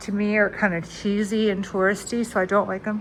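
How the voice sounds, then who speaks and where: A woman talks at a moderate pace in a fairly high pitch. Noticeable background noise runs behind her. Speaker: travel vlogger. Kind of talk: room tour vlog. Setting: hotel room. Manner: casual, filler-heavy.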